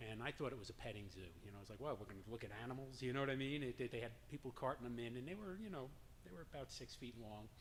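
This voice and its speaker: Very fast speech from a man with a slight New York accent, medium pitch and ordinary pitch variation. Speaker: drum circle leader. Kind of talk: personal story told to an audience.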